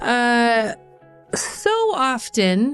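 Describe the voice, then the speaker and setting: A woman's fairly high voice rises over music playing in the background. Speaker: podcast host. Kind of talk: podcast intro. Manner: upbeat.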